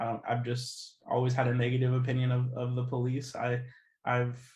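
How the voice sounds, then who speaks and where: Audible room echo surrounds a man with an American accent and a medium pitch. His voice is somewhat breathy and his intonation monotone and flat. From US Midwest, Kansas City, Kansas. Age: 20s. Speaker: activist. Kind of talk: interview. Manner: hesitant, many fillers.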